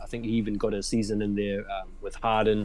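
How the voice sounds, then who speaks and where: Someone with a New Zealand accent speaks amid audible room echo. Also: man. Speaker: sneaker collector and social media creator. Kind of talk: casual interview on a live stream. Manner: halting, many fillers and repeats.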